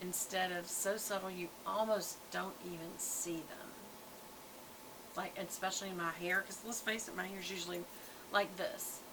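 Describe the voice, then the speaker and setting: A woman with a Southern US accent, flat and monotone, at a moderate pace, with audible room echo and noticeable background noise. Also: medium pitch for a woman. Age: 60s. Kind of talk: casual product review vlog. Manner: chatty, conversational.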